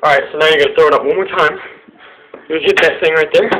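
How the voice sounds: A man at a very fast pace, fairly high-pitched with a bright, sharp tone and fairly even intonation.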